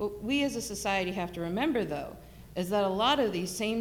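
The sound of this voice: The intonation moves in a lively way. It is an unforced reading voice.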